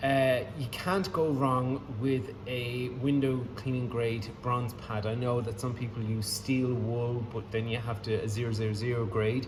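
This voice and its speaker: A man with an Irish accent speaks at a fairly slow pace and medium pitch, with fairly even intonation, hardly any pauses, audible room echo and noticeable background noise. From Ireland. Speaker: window cleaner. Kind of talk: tutorial. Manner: casual, hesitant with many fillers.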